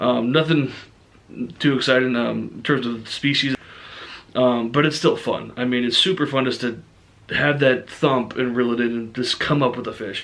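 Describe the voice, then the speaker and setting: This is a man with a medium pitch. His intonation stays fairly even. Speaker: fishing vlogger. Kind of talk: casual vlog talk to camera. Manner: fast; many fillers (um, uh).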